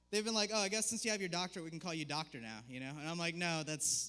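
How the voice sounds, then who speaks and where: At a very fast pace, a high-pitched man talks with lively intonation and a bright, sharp tone. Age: 20s. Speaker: comedian. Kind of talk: stand-up. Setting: stage with audience. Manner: jittery.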